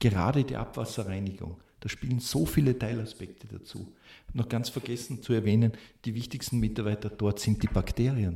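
A somewhat breathy voice with a dark, mellow tone, a fairly quick pace and fairly even intonation. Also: man. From Austria, Salzburg (Pongau). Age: 50s. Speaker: civil engineering professor. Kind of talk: expert interview.

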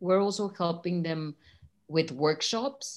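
In an enthusiastic tone, a woman with a Spanish accent speaks at a fairly slow pace, her fairly low pitch showing ordinary pitch variation. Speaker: nonprofit co-founder supporting artists. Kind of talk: brand strategy work session.

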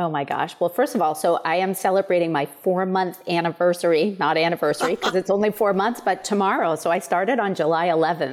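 An unremarkable speaking voice from a woman with an American accent, fairly low in pitch, with ordinary pitch variation and a fairly quick pace. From Maine, US. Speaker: nonprofit executive. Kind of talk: interview.

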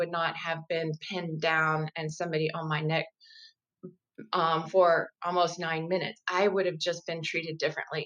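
Here is a woman with a fairly low pitch and an unremarkable speaking voice. She talks at a moderate pace. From raised in Italy and Germany, US military family. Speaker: professor and race communication educator. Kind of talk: interview on faith and race.

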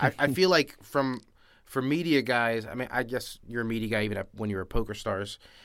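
A man with a normal speaking voice talks in an American accent at a fairly quick pace. His pitch is medium, with ordinary pitch variation. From Miami, Florida. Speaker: podcast host, poker journalist. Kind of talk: casual interview.

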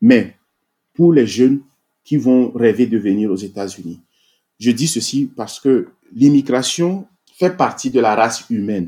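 A man's medium-pitched voice, dark and mellow in tone, with lively intonation, a fairly slow pace and long, frequent pauses. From Togo. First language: Togolese local language (speaking French). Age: 40s. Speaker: army officer and IT engineer. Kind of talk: interview.

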